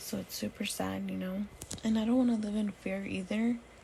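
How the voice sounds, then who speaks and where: A woman talks at a moderate pace with noticeable background noise present. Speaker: vlogger, new mother. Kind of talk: casual vlog storytelling. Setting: lying on bed at home, late night. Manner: soft-spoken.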